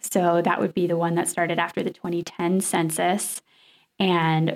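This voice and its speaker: A woman speaks with an American accent in a normal speaking voice. Her pitch is fairly low and her pace fairly slow. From US South, Nashville. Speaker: radio journalist. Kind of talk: interview.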